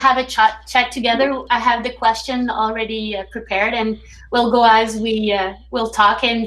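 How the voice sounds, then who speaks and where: In a French Canadian accent, a woman speaks with a fairly high pitch and a bright, sharp tone. She keeps a moderate pace. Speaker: teacher hosting a reading circle. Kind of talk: online group discussion hosting. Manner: hesitant.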